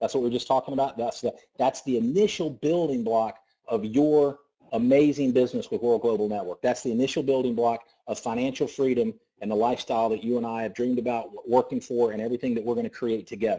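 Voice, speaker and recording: A man with a Southern US accent, medium pitch and a dark, mellow tone, at a very fast pace over a quiet background. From US South. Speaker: network marketing presenter. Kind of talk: sales pitch. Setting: conference call. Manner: animated.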